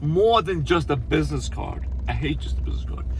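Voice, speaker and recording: A man talks at a fairly quick pace, and the room echo is audible. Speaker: landscaping business owner. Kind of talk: casual tutorial. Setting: on the road, stopped at a store. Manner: fast; hesitant, many fillers and repeats.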